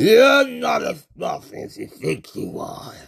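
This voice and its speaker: A man's put-on character voice, extremely high-pitched and raspy, at a fairly slow pace. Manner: taunting.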